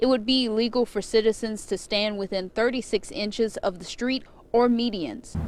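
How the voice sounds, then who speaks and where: Over noticeable background noise, a woman speaks fairly quickly in a fairly high voice with ordinary pitch variation. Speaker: TV news reporter. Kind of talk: TV news reporter stand-up and package narration.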